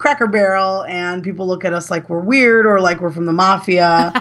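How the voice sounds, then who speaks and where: With a Chicago accent, a woman speaks at a medium pitch. Her intonation stays fairly even. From US Midwest, Chicago. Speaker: gaming website manager. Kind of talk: casual interview chat. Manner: halting, many fillers and restarts.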